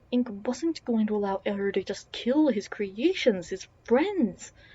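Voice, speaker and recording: A woman speaks at a fairly slow pace with a somewhat breathy voice. Her pitch sits fairly high and varies in an ordinary way. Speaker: audiobook narrator. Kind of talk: reading aloud. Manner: mumbling at times.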